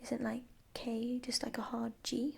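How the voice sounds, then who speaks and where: A woman with a British accent, high pitch, dark, mellow and relaxed tone, very slow pace and monotone, flat intonation. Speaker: ASMR creator and mathematics master's student. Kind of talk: ASMR flip-through, casual talk to camera. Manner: soft-spoken, relaxed, slow.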